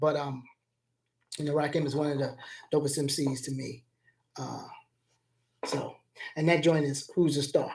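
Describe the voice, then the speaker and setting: A somewhat breathy man with an American accent and fairly high pitch, at a moderate pace. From US South, Atlanta, Georgia. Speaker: music producer. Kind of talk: casual livestream talk. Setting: live stream.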